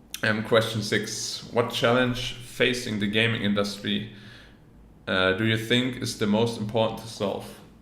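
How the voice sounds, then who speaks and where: Audible room echo colors a man's medium-pitched voice. He speaks at a fairly slow pace with monotone, flat intonation. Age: 20s. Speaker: professional esports player. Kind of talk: interview answers, reading questions aloud. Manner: casual, with fillers.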